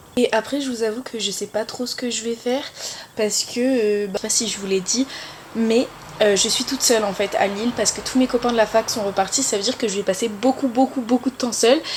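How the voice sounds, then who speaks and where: Over noticeable background noise, a woman talks at a fairly quick pace. Her pitch is fairly high and her intonation fairly even. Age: 20s. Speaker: student vlogger. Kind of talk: casual vlog talk. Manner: chatty, many fillers. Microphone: camera mic, sound may be poor.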